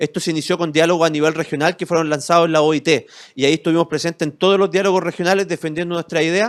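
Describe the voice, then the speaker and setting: A man with a Chilean accent speaks at a high pitch and a very fast pace. The recording is very clean, with a silent background and a dry, close sound with no echo. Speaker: lawyer and civic movement founder. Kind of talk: interview. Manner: animated.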